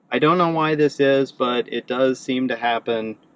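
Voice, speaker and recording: This man has an unremarkable speaking voice, medium in pitch with ordinary pitch variation, and he talks at a fairly slow pace. The sound is dry and close, without echo. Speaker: car owner reviewer. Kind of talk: video review walkthrough. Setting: in a car.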